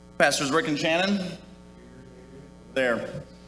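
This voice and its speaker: Over noticeable background noise and audible room echo, a man with an American accent speaks at a moderate pace with ordinary pitch variation. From US Midwest, Minnesota. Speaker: retiring navy officer. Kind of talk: retirement speech.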